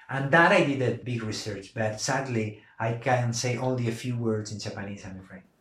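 Amid noticeable background noise, a man with a medium-pitched voice talks at a fairly quick pace with hardly any pauses, ordinary pitch variation and big swings in loudness. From Argentina (Buenos Aires), raised also in Andalusia, Spain. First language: Spanish. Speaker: novelist. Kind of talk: interview about his book. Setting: podcast interview.

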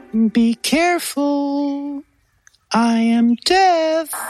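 A put-on character voice is performed at a high pitch. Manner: warning.

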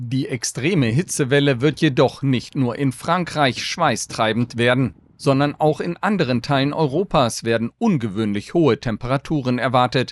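A normal speaking voice belongs to a man with a medium pitch and ordinary pitch variation, at a moderate pace. The sound is dry and close, with no echo. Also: very clean recording, silent background. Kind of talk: news reading. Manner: measured, crisp, even-paced German newsreader delivery.

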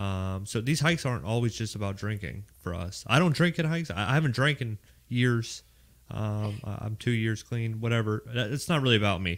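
With a slight Raleigh accent, a man speaks at a fairly quick pace, medium in pitch, with lively intonation. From Pittsburgh, Pennsylvania. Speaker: Marine veteran, hike organizer. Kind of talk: casual chat.

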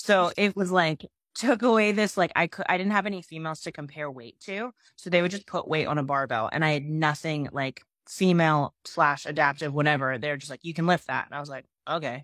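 A woman with an American accent and a very deep, low pitch talks at a fairly quick pace with ordinary pitch variation and big swings in loudness, on a very clean, dry, close recording with a silent background and no echo. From Pennsylvania. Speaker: adaptive CrossFit athlete. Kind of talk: casual chat.

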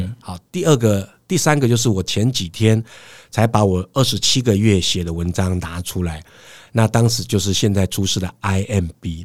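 A plain, everyday voice, a man's with fairly low pitch and ordinary variation, moves at a moderate pace on a very clean recording with a silent background. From Taiwan, Hsinchu. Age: 50s. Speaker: professional lecturer and serial entrepreneur. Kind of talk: interview.

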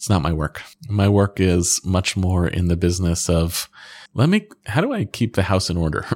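Recorded dry and close with no echo against a silent background in a very clean recording, a man with a very deep, low pitch speaks at a moderate pace with ordinary pitch variation. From grew up in Egypt, Israel and US. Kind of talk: interview conversation. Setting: office.

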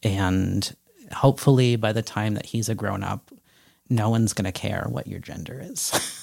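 With a normal speaking voice, a man talks at a fairly slow pace, his pitch fairly low with ordinary variation. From Connecticut, small town. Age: 30s. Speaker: transgender father, podcast guest. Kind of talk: interview conversation.

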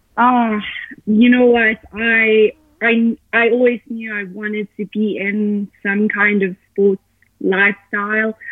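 A woman's very slow, monotone, flat delivery with a South African accent. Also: fairly high pitch for a woman. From Johannesburg, South Africa. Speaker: professional triathlete. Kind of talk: casual interview.

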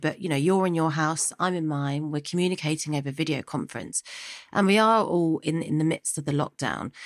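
A woman's fairly low, fairly quick voice with ordinary pitch variation, a plain, everyday voice, dry and close with no echo. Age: 30s. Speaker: podcast host. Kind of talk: interview. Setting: remote call from home.

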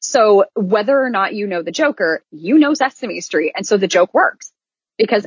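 A woman speaks with an American accent at a moderate pace. She has an ordinary speaking voice and lively intonation. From Iowa, US Midwest. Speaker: theater performer, podcast co-host. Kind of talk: casual chat.

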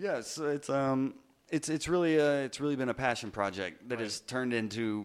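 At a fairly quick pace, a man speaks at a medium pitch with ordinary pitch variation in a plain, everyday voice. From US South, Georgia. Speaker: stand-up comedian. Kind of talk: casual chat.

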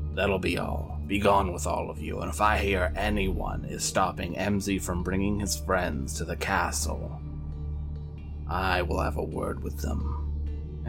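Loud music plays in the background. Over it, a man does a put-on character voice at a fairly slow pace. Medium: actual play. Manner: imperious, cold.

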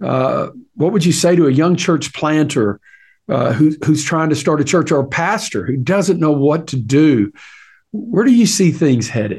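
Lively intonation from a man with a fairly high pitch, at a moderate pace. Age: 60s. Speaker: podcast host interviewing pastors. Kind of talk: interview conversation. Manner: halting with repetitions.

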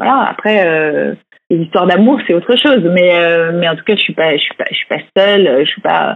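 At a fairly quick pace, a woman speaks with a medium pitch and ordinary pitch variation. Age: 40s. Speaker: author sharing fertility treatment story. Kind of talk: interview testimony. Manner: hesitant, many fillers.

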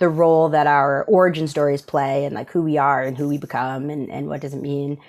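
Someone talks at a very fast pace in a New York accent on a very clean recording with a silent background. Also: woman. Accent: American (New York). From upstate New York. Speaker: creative agency managing director. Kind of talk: casual interview.

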